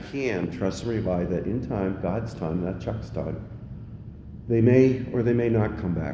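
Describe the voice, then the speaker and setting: Audible room echo surrounds a man with an American accent speaking at a moderate pace, fairly low in pitch with ordinary pitch variation. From Pennsylvania. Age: 60s. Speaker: recovering alcoholic speaker at AA meeting. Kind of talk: recovery meeting share.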